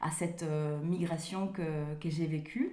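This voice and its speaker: Audible room echo surrounds this recording. A woman speaks in a dark, mellow tone. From Italy, Rome. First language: Italian (speaking French). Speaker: author. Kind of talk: interview. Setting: remote call. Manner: halting, many hesitations.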